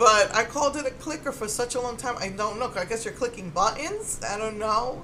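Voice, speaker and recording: Amid noticeable background noise, a woman talks at a fairly quick pace and a fairly high pitch, with ordinary pitch variation and hardly any pauses. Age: middle-aged. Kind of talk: casual talk to camera.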